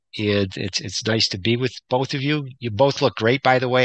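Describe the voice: At a moderate pace, a man speaks at a medium pitch with a fairly bright tone and ordinary pitch variation.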